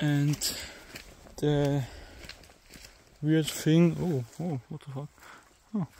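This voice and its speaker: A man with a German accent speaks at a very slow pace, with long, frequent pauses and fairly even intonation. His pitch is fairly high, and there is noticeable background noise. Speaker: amateur video uploader. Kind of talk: casual vlog narration. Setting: outdoors in a forest. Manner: halting.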